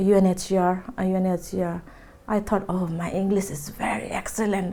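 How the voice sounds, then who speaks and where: A woman at a medium pitch and moderate pace, dark and mellow in tone, with monotone, flat intonation. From Nepal. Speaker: community worker. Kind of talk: oral history interview. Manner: hesitant.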